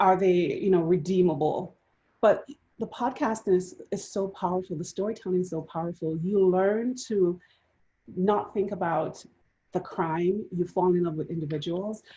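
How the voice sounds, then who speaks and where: A woman with a Jamaican accent speaks in a dark, mellow, somewhat breathy tone with fairly even intonation. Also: medium pitch for a woman, moderate pace. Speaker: panelist. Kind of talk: panel discussion.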